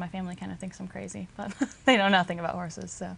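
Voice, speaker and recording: A woman of medium pitch with a slight Southern US accent. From US South, Arkansas. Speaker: equine industry trainee. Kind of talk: interview.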